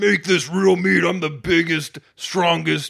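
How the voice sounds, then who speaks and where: A put-on character voice at a fairly slow pace. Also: man. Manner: groaning.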